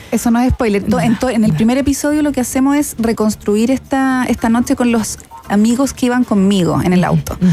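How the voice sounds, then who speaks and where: A woman with a fairly high pitch speaks at a fairly quick pace, her loudness very even and her pitch varying in an ordinary way. Noticeable background noise runs underneath. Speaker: podcast producer. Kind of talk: interview. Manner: halting.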